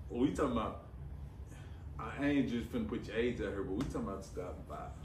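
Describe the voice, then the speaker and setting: A man's voice with audible room echo. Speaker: podcast guest. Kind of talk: casual chat.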